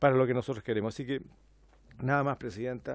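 A man speaks with fairly even intonation in a dry sound with no echo. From Chile. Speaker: member of parliament. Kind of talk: parliamentary debate. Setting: parliamentary committee room. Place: meeting room. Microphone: podium.

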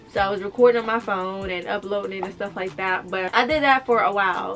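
With faint music in the background, a woman talks at a fairly quick pace with fairly even intonation. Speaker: lifestyle vlogger. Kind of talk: casual story-time vlog chat.

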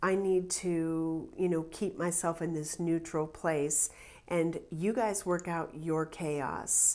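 The speech comes at a very slow pace with monotone, flat intonation. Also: woman. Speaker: tarot reader. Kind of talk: tarot reading commentary. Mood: calm, reflective.

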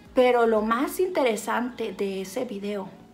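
A woman's animated voice, fairly high in pitch and fairly slow, with faint music in the background. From Mexico, Sinaloa. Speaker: YouTuber. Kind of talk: makeup tutorial. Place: home room. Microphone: phone near.

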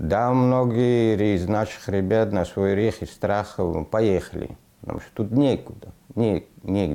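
Very slowly and at a fairly low pitch, a man speaks in a dark, mellow tone with ordinary pitch variation and big swings in loudness. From Afghanistan (Parwan), raised in Russia from age 11; Afghanistan. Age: 40s. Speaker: aircraft mechanic facing deportation; interviewee. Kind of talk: interview. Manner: halting. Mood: calm, reflective, somewhat sad. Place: home room.

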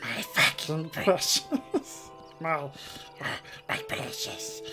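Over clear music in the background, a put-on character voice at a middle pitch speaks at a very slow pace. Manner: obsessive, wheezy.

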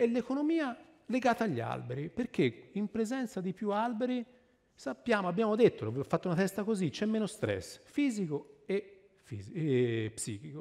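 A man with a Florentine accent speaks at a high pitch with very wide pitch swings. His pace is moderate against a quiet background. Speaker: tree scientist speaker; speaker. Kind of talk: public lecture. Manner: animated. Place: stage.

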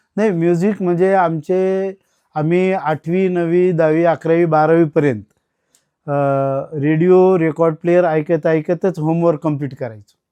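In a dry, close sound with no echo and a quiet background, a man with a high pitch and a dark, mellow tone speaks with fairly even intonation. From Maharashtra, Latur district (Banjara tanda). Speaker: retired college administrator and radio collector. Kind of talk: interview. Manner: halting.

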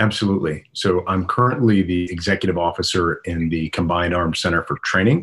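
A man with a very deep, low voice. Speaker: remote guest. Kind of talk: interview answer. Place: home room. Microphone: video call.

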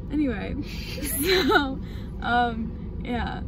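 At a very slow pace, a woman speaks in a dry sound with no echo over noticeable background noise. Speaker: vlogger's friend. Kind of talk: casual vlog chat. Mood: amused, laughing storytelling. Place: car. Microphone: phone near.

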